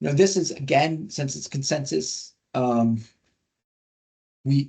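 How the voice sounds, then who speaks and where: A man speaks with a fairly high pitch and a somewhat breathy quality. His loudness swings widely. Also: ordinary pitch variation. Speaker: industry scientist presenting guidelines. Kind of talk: webinar presentation. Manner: fast; animated.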